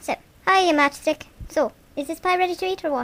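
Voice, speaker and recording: A woman speaks in a put-on character voice that is squeaky and extremely high-pitched. Her pitch varies in an ordinary way, and she talks at a fairly quick pace. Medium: audio drama. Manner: brash, combative.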